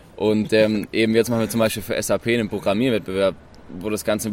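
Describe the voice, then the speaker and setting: Speaking at a very fast pace, a man keeps his pitch fairly low. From Tübingen, Baden-Württemberg, southwestern Germany. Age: 20s. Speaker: university student, co-founder of a student group. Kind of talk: casual interview. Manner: casual, relaxed.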